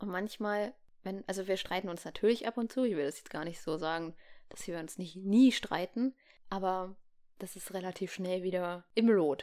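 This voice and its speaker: Her tone dark and mellow, a woman speaks at a medium pitch and moderate pace with ordinary pitch variation and big swings in loudness. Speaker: podcast co-host. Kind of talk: casual chat. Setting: home room. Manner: animated.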